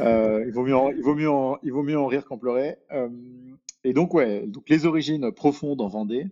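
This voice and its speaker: A man speaks at a moderate pace against a quiet background. His voice is fairly high-pitched and dark and mellow in tone, with ordinary pitch variation. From Paris, France. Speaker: venture capital investor. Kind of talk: podcast interview. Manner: halting.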